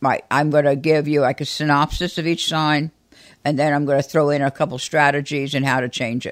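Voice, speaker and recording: On a very clean recording with a silent background, a woman with a very deep, low pitch speaks fairly quickly in monotone, flat intonation. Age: 70s. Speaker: astrologer podcast co-host. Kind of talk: casual chat.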